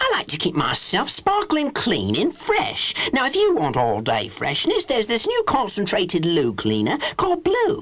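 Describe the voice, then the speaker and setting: A man speaks in a put-on character voice at a moderate pace. Clear background noise can be heard. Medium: comedy sketch. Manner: chirpy, pleased with itself.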